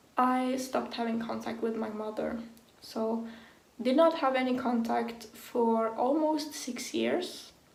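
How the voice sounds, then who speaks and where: A woman with a non-native accent at a fairly slow pace, ordinary pitch variation, noticeable background noise and audible room echo. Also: fairly high pitch for a woman. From Sweden. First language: Swedish. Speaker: vlogger. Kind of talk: personal vlog. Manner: casual, filler-heavy.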